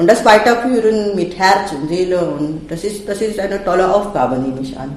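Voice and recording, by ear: A woman at a moderate pace, fairly low pitch, a slightly mellow tone, ordinary pitch variation and audible room echo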